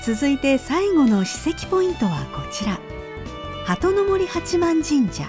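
A woman's very slow speech with very wide pitch swings over music in the background. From Kumamoto, Japan. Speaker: narrator. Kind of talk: travel documentary narration.

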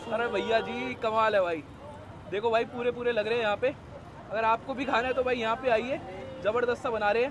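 The speech moves at a moderate pace with fairly even intonation, in a dry sound with no echo but noticeable background noise. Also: man, extremely high pitch for a man. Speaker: food vlogger. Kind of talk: casual vlog commentary. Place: street.

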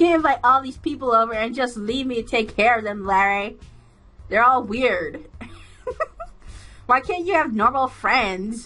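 A put-on character voice, female-sounding and high-pitched, moves at a moderate pace with long, frequent pauses. It sounds whiny in tone, with music in the background. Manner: whiny, irritated.

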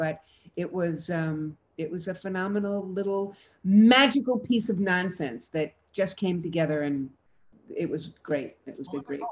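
Speaking at a moderate pace, a woman with a New York accent uses lively intonation. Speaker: actress and theater founder. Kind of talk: interview. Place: home room. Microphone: video call.

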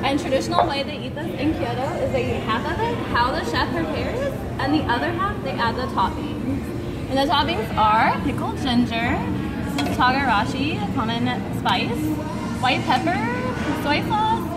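Against crowd noise in the background, a woman speaks at a moderate pace with long, frequent pauses. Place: cafe. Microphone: phone near.

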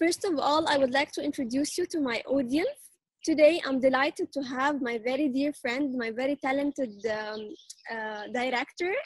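Over a quiet background, a woman's high voice moves at a moderate pace with ordinary pitch variation, the sound dry with no echo. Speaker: show anchor. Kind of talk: casual interview hosting. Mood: cheerful, friendly. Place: garden. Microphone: video call.

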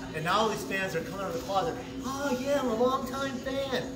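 A man speaks fairly quickly. Clear music can be heard in the background. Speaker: workout instructor. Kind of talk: casual chat during workout class. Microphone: camera far.

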